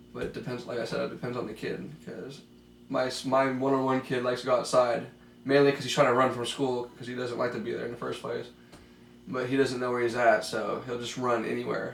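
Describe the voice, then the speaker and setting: Over noticeable background noise and audible room echo, a man speaks very fast at a medium pitch in a monotone, flat delivery. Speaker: special education aide. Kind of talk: mock counseling interview.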